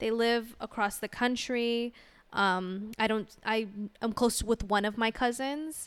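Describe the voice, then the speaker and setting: A woman's fairly high, an ordinary speaking voice, fairly even in intonation and fairly slow in pace. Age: 20s. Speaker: podcast co-host. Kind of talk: casual chat.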